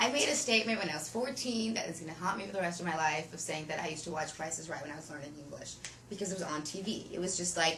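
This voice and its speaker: Lively intonation comes through at a very fast pace over noticeable background noise. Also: woman, fairly low pitch for a woman, big swings in loudness. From Ukraine. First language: Russian. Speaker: actress. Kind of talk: interview answer.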